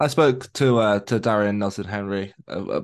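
With a plain, everyday voice, a man speaks at a moderate pace in a fairly low pitch with fairly even intonation over a quiet background. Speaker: podcast host. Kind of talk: casual interview chat.

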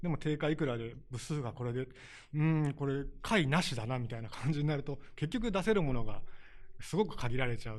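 At a fairly quick pace, a man with a normal speaking voice talks at a fairly high pitch with lively intonation. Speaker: small publisher owner. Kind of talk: interview.

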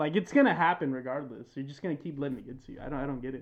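A man speaks very fast in a fairly high voice with vocal fry. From US, Mexican-American family. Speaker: podcast co-host. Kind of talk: casual chat. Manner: animated.

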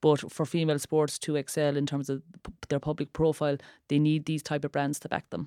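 With an Irish accent, a woman speaks at a fairly quick pace in a very deep, low pitch with a dark, mellow tone. Her intonation is monotone and flat, and the sound is dry and close with no echo. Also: very clean recording, silent background. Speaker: former athlete and sports campaigner. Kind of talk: podcast interview.

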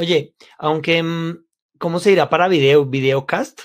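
With ordinary pitch variation, a man's fairly high voice moves at a fairly slow pace. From Colombia, Bogotá. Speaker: sales trainer, podcast co-host. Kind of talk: casual chat.

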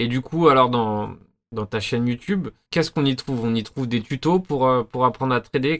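A man's plain, everyday voice, medium in pitch, with fairly even intonation at a fairly quick pace. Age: 30s. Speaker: podcast host. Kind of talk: interview.

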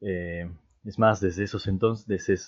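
A man with a normal speaking voice. His pitch sits fairly low, with ordinary variation. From Peru. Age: 20s. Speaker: podcast co-host, university student. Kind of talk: casual chat.

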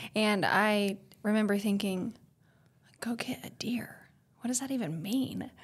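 With an American accent, a woman speaks at a moderate pace and medium pitch on a very clean recording with a silent background. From Oklahoma. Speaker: speech-language pathologist. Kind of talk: casual chat. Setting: studio.

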